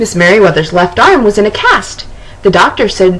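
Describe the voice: Text read aloud plainly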